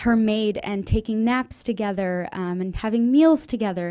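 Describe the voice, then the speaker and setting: Over a quiet background, a woman with an American accent speaks at a moderate pace in a fairly high voice with a dark, mellow tone. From US, Indian Marathi-speaking family. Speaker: undergraduate student presenter; presenter. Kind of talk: student presentation. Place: classroom. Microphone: podium.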